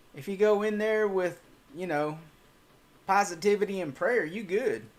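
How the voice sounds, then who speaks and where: Talking at a moderate pace with a Texas accent, a man has a high pitch, ordinary pitch variation and big swings in loudness. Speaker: cryptid channel host. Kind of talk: livestream Q&A reading chat. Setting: livestream.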